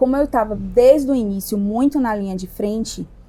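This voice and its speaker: A woman speaks with a Bahian accent at a fairly high pitch and a moderate pace. Her tone is dark and mellow, with ordinary pitch variation. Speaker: entrepreneur, restaurant owner. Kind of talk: podcast interview. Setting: at her restaurant.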